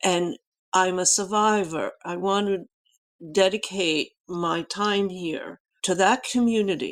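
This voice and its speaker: At a very slow pace, a woman talks at a medium pitch with fairly even intonation. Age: 80s+. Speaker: writer and archivist. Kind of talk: interview.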